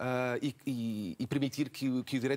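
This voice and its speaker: A man is speaking. His intonation is fairly even. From Portugal, Almada; Portugal. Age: 40s. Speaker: local election candidate and schoolteacher; election candidate, schoolteacher. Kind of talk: televised political debate. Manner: halting, many repetitions and fillers. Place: studio. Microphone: lapel.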